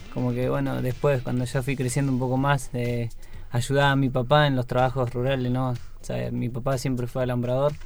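In a monotone, flat delivery, a man at a medium pitch speaks at a fairly quick pace with audible room echo. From Patagonia, Chubut, Argentina. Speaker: marathon runner. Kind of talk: interview. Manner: halting.

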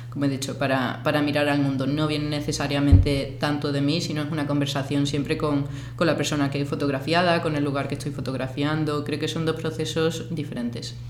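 A woman with a very deep, low pitch speaks at a fairly quick pace in a monotone, flat intonation. Audible room echo and noticeable background noise fill the recording. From Andalusia, Spain (Seville, Cádiz). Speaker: photographer and artist. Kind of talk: interview. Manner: halting.

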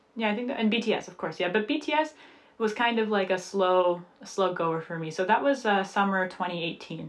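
A plain, everyday voice with lively intonation at a fairly quick pace. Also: woman. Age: 20s. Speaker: podcast co-host. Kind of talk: casual chat.

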